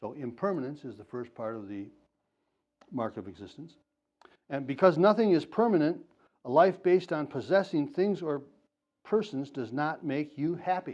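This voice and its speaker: Fairly high-pitched, a man speaks at a moderate pace with very wide pitch swings, big swings in loudness, and long, frequent pauses. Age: 70s. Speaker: Zen Buddhist teacher. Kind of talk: dharma talk. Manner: halting, with many fillers.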